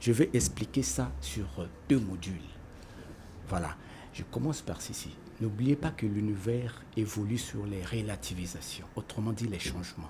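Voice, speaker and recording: Pausing long and often, a man with fairly low pitch speaks at a fairly slow pace, his pitch swinging very widely. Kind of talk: panel discussion. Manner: formal.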